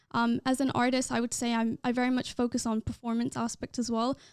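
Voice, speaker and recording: A woman's high voice at a fairly quick pace, dry and close with no echo, on a very clean recording with a silent background. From England (northern England and West Midlands), born in Ireland. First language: not English. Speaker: pop and R&B singer-songwriter and dancer. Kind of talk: interview. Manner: casual, many filler words.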